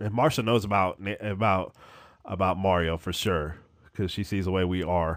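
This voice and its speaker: Very deep, low male voice at a moderate pace with ordinary pitch variation, in a very clean recording with a silent background. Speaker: podcaster and gaming streamer. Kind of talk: solo memorial podcast monologue. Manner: casual, with frequent fillers.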